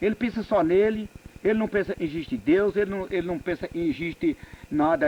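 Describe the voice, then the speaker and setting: Noticeable background noise runs through the clip. The speech moves at a moderate pace. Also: man. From Northeastern Brazil. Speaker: farm laborer. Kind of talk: oral history interview. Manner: frank, plain-spoken.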